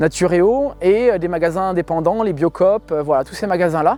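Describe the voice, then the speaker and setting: In a dry, close sound with no echo, a man speaks at a moderate pace with a high pitch and ordinary pitch variation. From France, Île-de-France (Essonne). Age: 40s. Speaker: organic farmer. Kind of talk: interview. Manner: hesitant, many fillers.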